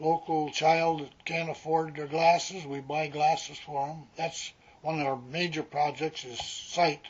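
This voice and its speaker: With an Upper Midwest accent, a man speaks in a fairly high pitch with monotone, flat intonation, a fairly slow pace and big swings in loudness. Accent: Upper Midwest American. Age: 80s+. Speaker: retired rural mail carrier. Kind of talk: oral history interview. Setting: at his home. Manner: halting.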